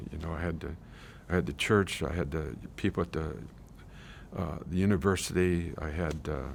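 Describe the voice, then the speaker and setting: A man talks at a moderate pace with very deep, low pitch and vocal fry. His pitch varies in an ordinary way. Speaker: retired teacher telling life story. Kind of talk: life story interview. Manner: halting.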